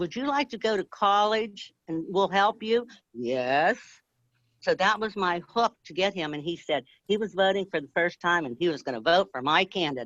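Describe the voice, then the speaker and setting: A woman at a moderate pace, with big swings in loudness and very wide pitch swings, in a dry, close sound with no echo against a quiet background. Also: medium pitch for a woman. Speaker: grassroots activist. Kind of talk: casual chat. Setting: live video stream.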